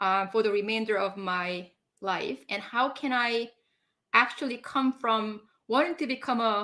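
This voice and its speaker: Her fairly high voice moves at a fairly slow pace, the woman's pitch varying in an ordinary way. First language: not English. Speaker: leadership coach. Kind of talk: casual chat. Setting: live stream.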